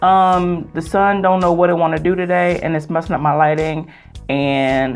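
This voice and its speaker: Audible room echo and background music surround a woman as she talks. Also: moderate pace. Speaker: beauty vlogger. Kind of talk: casual vlog. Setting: home filming setup with natural light. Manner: animated.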